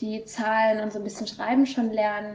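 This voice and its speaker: A woman speaks at a fairly high pitch. Noticeable background noise runs behind her. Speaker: volunteer kindergarten worker. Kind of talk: casual interview. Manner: hesitant, many fillers.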